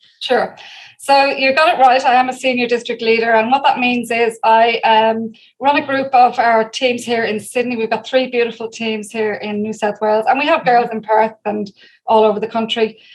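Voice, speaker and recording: Speaking with an Irish accent, a woman has a fairly high pitch and fairly even intonation. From Ireland, Dublin. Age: 50s. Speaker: direct sales leader. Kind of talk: interview. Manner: fast.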